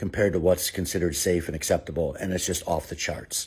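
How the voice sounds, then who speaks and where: A man with a very deep, low pitch and an American accent, very fast pace, very clean recording and silent background. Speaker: former city alderman. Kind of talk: direct-to-camera commentary.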